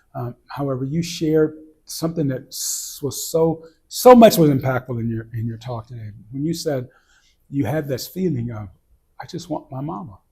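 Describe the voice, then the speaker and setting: At a moderate pace, a man with a fairly high pitch and a dark, mellow, somewhat breathy tone talks with ordinary pitch variation and big swings in loudness. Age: 60s. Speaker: interview host. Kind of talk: casual chat. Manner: halting.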